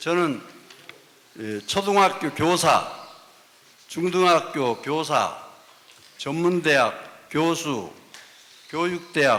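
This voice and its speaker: Over noticeable background noise, a high-pitched man speaks very slowly, with long, frequent pauses. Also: ordinary pitch variation. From Gochang, North Jeolla, Korea. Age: 70s. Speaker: retired professor, writer. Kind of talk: self-introduction at a symposium.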